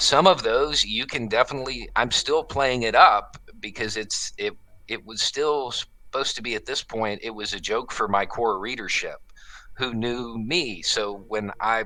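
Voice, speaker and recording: Here a man talks at a moderate pace. His tone is bright and sharp, with ordinary pitch variation. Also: medium pitch for a man. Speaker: YouTube commentator, former military contractor. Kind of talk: interview conversation. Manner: casual, halting with filler words.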